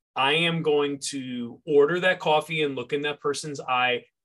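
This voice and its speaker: With an energetic tone, a man speaks at a moderate pace, fairly high in pitch with ordinary pitch variation. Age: 40s. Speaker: high school science teacher. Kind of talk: casual chat.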